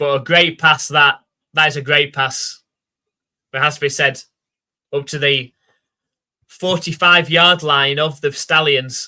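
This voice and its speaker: A man's fairly high voice with a Yorkshire accent, monotone and flat, at a fairly slow pace with long, frequent pauses. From South Yorkshire, England (Rotherham). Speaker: live stream commentator. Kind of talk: live commentary.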